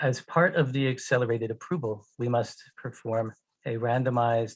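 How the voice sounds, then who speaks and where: With an American accent, a man speaks at a fairly slow pace in a medium pitch, somewhat breathy, his intonation fairly even. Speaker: pharmaceutical company executive. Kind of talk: conference presentation. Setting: online conference. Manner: slow, deliberate for interpreter.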